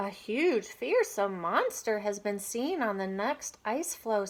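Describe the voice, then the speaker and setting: Using a put-on character voice, a woman speaks at a fairly high pitch and a fairly slow pace. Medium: read story.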